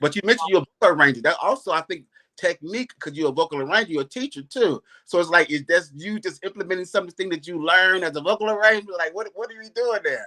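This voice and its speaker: Bright and sharp in tone, a man speaks very fast in a raised, projected voice with a high pitch, an animated tone, and ordinary pitch variation. His loudness swings widely, and the sound is dry and close with no echo. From Chicago, South Side. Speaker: interviewer. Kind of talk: interview.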